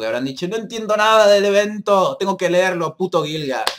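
A man keeps a moderate pace, with light background noise behind him. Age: 20s. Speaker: gaming youtuber. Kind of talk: casual vlog to viewers. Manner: hesitant, many fillers. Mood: apologetic, upbeat. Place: home room. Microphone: webcam.

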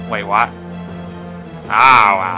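Clear music plays in the background. Over it comes a put-on character voice. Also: man. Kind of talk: comic overacting. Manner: grouchy, muttering, moody.

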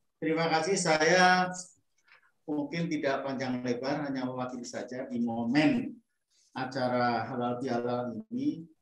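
Over a quiet background with audible room echo, a man with a fairly high pitch speaks fairly slowly, his pitch varying in an ordinary way. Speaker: moderator. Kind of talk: formal moderating. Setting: video call. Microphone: video call.

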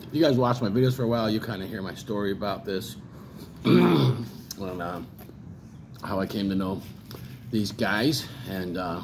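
A man with a fairly low pitch talks at a moderate pace, his loudness swinging widely. He leaves long, frequent pauses over noticeable background noise. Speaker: hot sauce reviewer. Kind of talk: casual vlog chat. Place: home room. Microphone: phone near.

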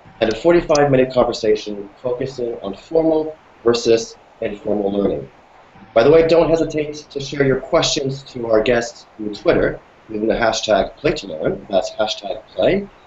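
Audible room echo carries a man's voice. Light background noise can be heard too. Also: moderate pace. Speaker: hangout host. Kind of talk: moderator introduction. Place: office. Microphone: video call.

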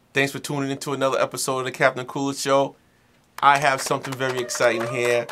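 A man speaks over light background noise. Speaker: beer reviewer host. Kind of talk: casual review show talk. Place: home room.

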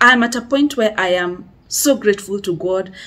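Here a woman speaks at a fairly slow pace. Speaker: vlogger, life coach. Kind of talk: casual vlog chat. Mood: grateful, warm. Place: home room.

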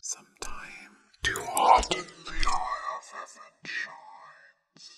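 Someone whispers. Their words come at a very slow pace. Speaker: ASMR creator. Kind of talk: poetry reading. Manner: whispered; relaxing, soft. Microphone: studio mic.

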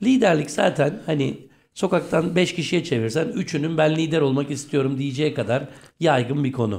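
A man speaks at a moderate pace in a fairly high voice. He sounds somewhat breathy. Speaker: radio host. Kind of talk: radio interview. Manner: low-energy.

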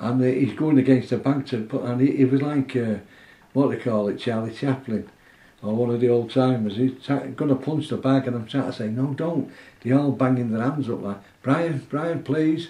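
Audible room echo surrounds a man with a dark, mellow tone. He talks at a moderate pace with fairly even intonation. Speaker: boxing trainer. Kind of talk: interview answer. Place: home room.

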